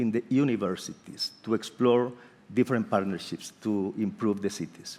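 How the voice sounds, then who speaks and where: A moderate speed marks the delivery. It comes with a Spanish accent. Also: man. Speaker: architect and urban planning professor. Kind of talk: panel discussion. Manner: halting.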